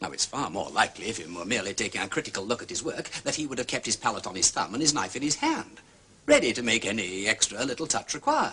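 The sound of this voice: Putting on a character voice, a man races along with big pitch swings, his bright, sharp tone carrying a husky, rough edge. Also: fairly low pitch for a man.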